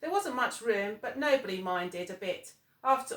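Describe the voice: Here is plain reading aloud delivered with lively intonation.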